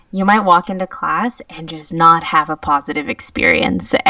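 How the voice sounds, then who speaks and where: Amid noticeable background noise, a woman speaks at a moderate pace with very wide pitch swings. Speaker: yoga teacher. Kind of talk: podcast interview.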